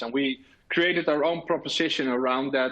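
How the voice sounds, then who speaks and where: A man with a Dutch accent speaks at a moderate pace. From Netherlands. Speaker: technology officer and tech blogger presenting. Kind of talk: conference presentation. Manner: hesitant, many fillers.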